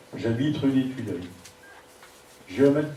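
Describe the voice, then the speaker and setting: A man speaks at a moderate pace with fairly even intonation. Audible room echo and noticeable background noise surround his voice. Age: 60s. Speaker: municipal election candidate. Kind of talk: campaign video statement. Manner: formal.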